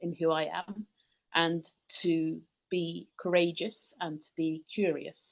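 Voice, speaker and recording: A woman's fairly low-pitched voice with a British accent and monotone, flat intonation. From rural England, UK. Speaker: tour company founder. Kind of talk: podcast interview.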